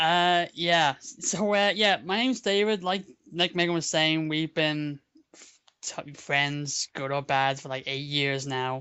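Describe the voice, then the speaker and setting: A man with a Dublin accent, fairly high in pitch, with ordinary pitch variation and big swings in loudness. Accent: Dublin Irish. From Ireland, Dublin. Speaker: online roleplay community member. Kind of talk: casual chat. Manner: halting.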